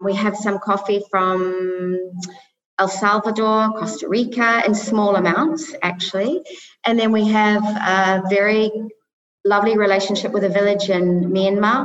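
A woman speaks at a medium pitch and a fairly slow pace. Her loudness stays very even and her intonation fairly even. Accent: New Zealand. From New Zealand. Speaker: coffee business founder. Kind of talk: interview.

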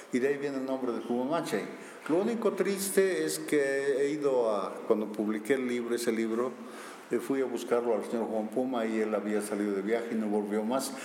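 Moderate-paced speech with lively intonation, noticeable background noise and audible room echo. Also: man, medium pitch for a man. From Bolivia, Sucre. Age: 60s. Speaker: archaeologist. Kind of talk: interview.

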